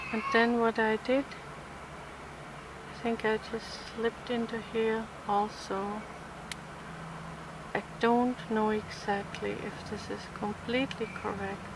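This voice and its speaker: A soft-spoken woman with a Swabian accent talks at a fairly high pitch in a monotone, flat intonation. Her pace is very slow, with long, frequent pauses, and noticeable background noise is heard. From southern Germany (Swabia). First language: German. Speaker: crochet tutorial creator. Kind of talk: tutorial.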